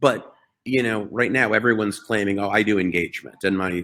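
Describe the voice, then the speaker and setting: A man with a fairly low voice speaks in an ordinary speaking voice, his pitch varying in an ordinary way. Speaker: healthcare technology entrepreneur. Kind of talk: webinar presentation.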